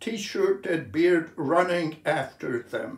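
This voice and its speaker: Room echo is audible around the voice. A man talks with ordinary pitch variation. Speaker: poet. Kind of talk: poetry reading. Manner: slow, measured, contemplative delivery. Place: home room. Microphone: phone near.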